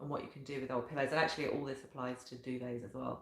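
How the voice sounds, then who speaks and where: A woman with a very deep, low pitch is heard amid noticeable background noise and audible room echo. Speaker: professional organiser. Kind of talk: talking-head video tutorial.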